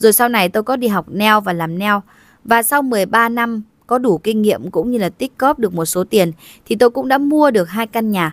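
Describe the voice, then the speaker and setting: Heard in a dry, close sound with no echo on a very clean recording with a silent background, a woman uses a normal speaking voice with ordinary pitch variation. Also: fairly high pitch for a woman, moderate pace. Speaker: video narrator. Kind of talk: scripted narration. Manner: formal.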